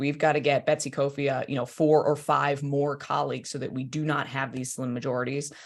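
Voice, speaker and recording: Speaking at a fairly quick pace in an animated tone, a woman with a very deep, low pitch is heard on a very clean recording with a silent background. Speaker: state senator. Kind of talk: political update to party members.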